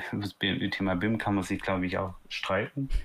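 At a moderate pace, a man speaks in a normal speaking voice with a fairly low pitch and ordinary pitch variation. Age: 30s. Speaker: startup founder. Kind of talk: casual interview.

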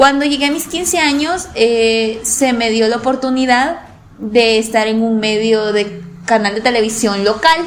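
Amid audible room echo, a woman with a fairly high pitch speaks at a fairly slow pace with ordinary pitch variation. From El Salvador, La Paz coast. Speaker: sports journalist. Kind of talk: interview.

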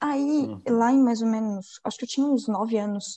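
A woman talks at a moderate pace in a fairly high voice. Her tone is dark and mellow, and somewhat breathy. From Florianópolis, Santa Catarina, southern Brazil. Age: 20s. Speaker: podcast host. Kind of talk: casual chat.

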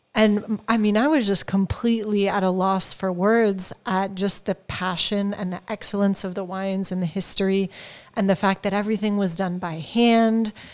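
A woman speaks with an American accent at a moderate pace in a medium pitch. Hers is a plain, everyday voice with fairly even intonation. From California, US. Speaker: wine importer, business owner. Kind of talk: casual chat. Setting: informal studio, live on an audio app.

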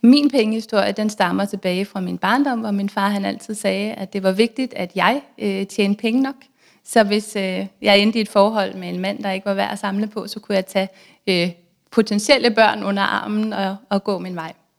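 A woman's normal speaking voice, medium in pitch, with fairly even intonation and a moderate pace, on a very clean recording with a silent background. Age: 30s. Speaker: author and blogger on personal finance. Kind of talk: casual interview.

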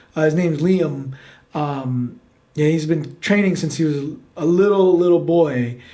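Heard with audible room echo, a man with an American accent speaks fairly slowly in a fairly high, dark, mellow voice with ordinary pitch variation. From New York City. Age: 30s. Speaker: podcast host. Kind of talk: casual chat. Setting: studio with cameras.

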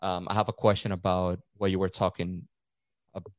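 A man speaks with a Venezuelan accent in a very deep, low pitch and monotone, flat intonation. The sound is dry and close with no echo. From Caracas, Venezuela. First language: Spanish. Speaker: photographer and videographer. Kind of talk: casual chat. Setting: remote call, rain outside.

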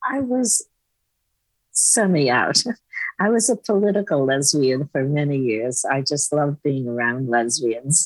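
At a fairly slow pace, a woman with a very deep, low pitch makes very wide pitch swings while her loudness stays very even. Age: 90s. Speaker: activist and death educator, retired nurse. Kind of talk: interview.

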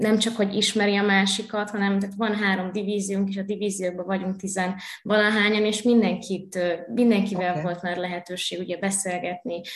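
Over noticeable background noise and audible room echo, a woman talks at a fairly quick pace in a medium pitch with monotone, flat intonation. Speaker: university student and HR intern. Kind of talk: interview.

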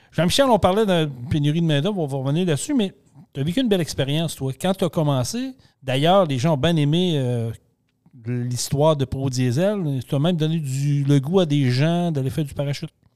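At a fairly quick pace, a man talks in an ordinary speaking voice with fairly high pitch and ordinary pitch variation. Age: 50s. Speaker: podcast host. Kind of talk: casual chat.

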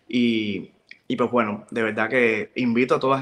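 His intonation stays fairly even as the man talks at a medium pitch. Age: 20s. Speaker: makeup artist and pageant organizer. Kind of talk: interview.

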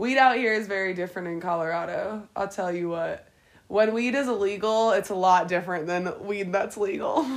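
With an American accent, a woman speaks at a moderate pace and medium pitch in a plain, everyday voice with ordinary pitch variation. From Pennsylvania, Harrisburg. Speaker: podcast co-host, hotel supervisor. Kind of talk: casual chat.

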